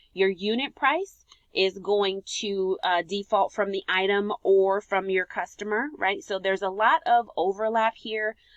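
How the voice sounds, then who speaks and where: Fairly slow delivery in a plain, everyday voice, pitch varying in an ordinary way. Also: woman, medium pitch for a woman. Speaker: software consultant. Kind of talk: tutorial.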